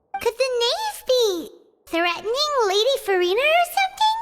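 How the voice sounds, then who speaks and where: A put-on character voice sounds squeaky at an extremely high pitch. It moves at a moderate pace with music in the background. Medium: video game. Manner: energetic, casual.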